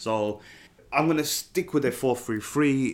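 A man at a moderate pace with ordinary pitch variation, in a very clean recording over a silent background. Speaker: football podcast host. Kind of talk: casual monologue. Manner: animated.

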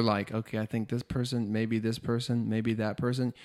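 A man at a medium pitch with an unremarkable speaking voice, moderate pace, and a dry, close sound with no echo over a very clean recording and silent background. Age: 30s. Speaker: podcast host. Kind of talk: casual interview. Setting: in-person, six feet apart.

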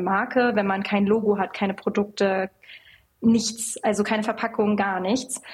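Pitched fairly high, a woman talks at a fairly slow pace in a monotone, flat intonation. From western Germany (North Rhine-Westphalia). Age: 20s. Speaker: cosmetics company founder and CEO. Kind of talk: casual interview.

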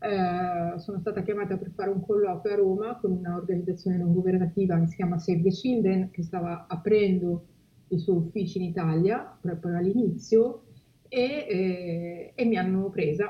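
A woman speaks in a somewhat breathy voice at medium pitch. Her pace is moderate. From Liguria, Italy (Genoa area). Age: 40s. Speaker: humanitarian spokesperson. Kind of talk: interview.

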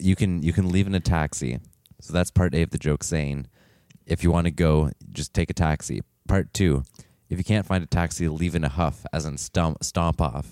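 A man's very deep, low voice with vocal fry at a moderate pace, in a dry, close sound with no echo. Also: ordinary pitch variation. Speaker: podcast co-host. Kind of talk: casual chat. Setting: studio with microphones.

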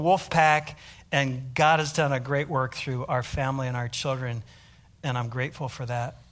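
In an ordinary speaking voice, a man with an American accent talks at a moderate pace with a fairly high pitch and ordinary pitch variation, on a very clean recording with a silent background. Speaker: missionary pastor. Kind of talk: sermon. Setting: church.

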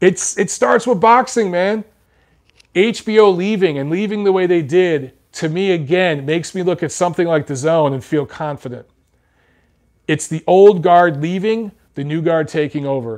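Over a quiet background, a man with a high pitch speaks at a moderate pace with ordinary pitch variation. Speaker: boxing YouTuber and commentator. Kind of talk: casual live-stream Q&A. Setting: home live video stream with microphone. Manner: blunt, profane, jokey.

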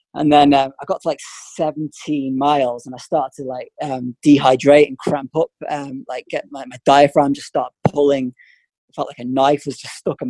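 Recorded with a dry, close sound and no echo, a man speaks at a fairly high pitch and a moderate pace. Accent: Manx. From Isle of Man. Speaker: former elite distance runner and running coach. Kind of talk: interview.

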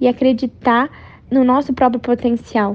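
Using monotone, flat intonation, a woman with a high pitch speaks in a Brazilian accent. She keeps a moderate pace. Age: 20s. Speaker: equestrian athlete. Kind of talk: interview.

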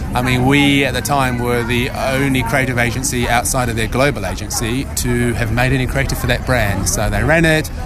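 The speech moves at a fairly quick pace with hardly any pauses and fairly even intonation. Noticeable background noise runs underneath. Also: man, medium pitch for a man. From New Zealand. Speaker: audio agency managing director. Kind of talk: casual chat.

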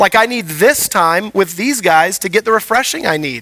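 In a raised, projected voice, a man speaks with a high pitch and a bright, sharp tone. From Houston, Texas. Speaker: pastor. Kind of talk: sermon. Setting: church.

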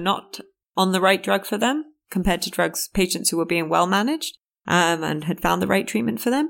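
A woman speaks at a medium pitch. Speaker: biotech startup CEO. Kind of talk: interview. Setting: office. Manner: hesitant with fillers.

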